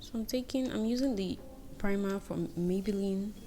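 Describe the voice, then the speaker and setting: With music in the background and audible room echo, a woman with a medium pitch speaks at a fairly slow pace. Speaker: beauty vlogger. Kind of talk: tutorial.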